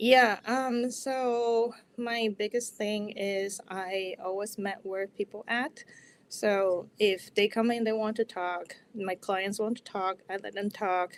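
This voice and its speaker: The speaker goes at a very slow pace. Intonation stays fairly even. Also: woman, fairly high pitch for a woman. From Taiwan. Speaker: therapist. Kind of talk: interview.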